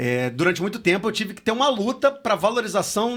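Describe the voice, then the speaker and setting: Here a man is talking. His pace is fairly quick. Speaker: podcast host. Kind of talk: podcast interview question.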